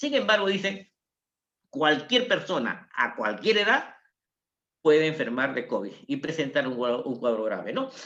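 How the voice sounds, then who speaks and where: Moving at a moderate pace, a man with a bright, sharp tone talks at a fairly high pitch with very wide pitch swings. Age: 70s. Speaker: doctor. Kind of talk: health talk. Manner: conversational.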